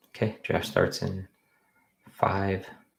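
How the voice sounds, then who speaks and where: The voice has a relaxed tone. It is somewhat breathy. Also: man. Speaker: fantasy football streamer. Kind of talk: live stream commentary. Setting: home office, late night live stream. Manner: casual, relaxed.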